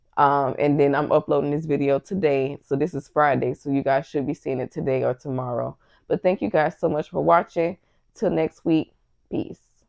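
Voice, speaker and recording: A woman's voice with vocal fry, very deep and low in pitch. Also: ordinary pitch variation, moderate pace. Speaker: TV reaction youtuber. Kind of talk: casual recap vlog. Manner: casual, conversational with fillers.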